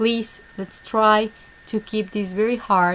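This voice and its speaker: A woman with a Spanish accent talks at a fairly slow pace and medium pitch. There is noticeable background noise. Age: 30s. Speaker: online English teacher. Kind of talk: online class session. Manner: halting.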